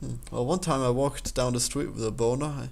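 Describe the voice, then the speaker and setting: A man with an Austrian accent, medium-pitched, at a moderate pace, with audible room echo. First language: German. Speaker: game developer and let's player. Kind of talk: casual commentary while taking an online quiz. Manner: halting, with frequent repetitions.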